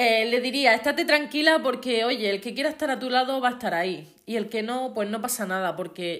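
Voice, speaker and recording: A woman with an Andalusian accent speaks at a fairly quick pace. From Andalusia, Spain. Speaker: podcast host. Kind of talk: motivational monologue. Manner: careful enunciation.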